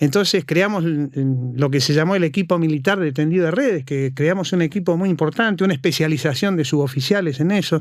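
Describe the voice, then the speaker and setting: A man with an Argentine accent talks at a very fast pace in a fairly high pitch, his loudness very even throughout. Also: ordinary pitch variation. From Argentina. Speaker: cybersecurity consultant. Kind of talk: interview.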